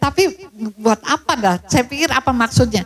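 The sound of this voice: High-pitched for a woman, her voice carries lively intonation. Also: moderate pace.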